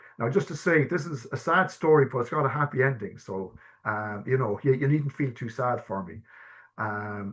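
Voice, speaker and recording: A man with an Irish accent talks at a medium pitch and moderate pace with lively intonation. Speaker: person who stammers, guest speaker. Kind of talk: personal testimony in a webinar. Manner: halting, many fillers and repetitions.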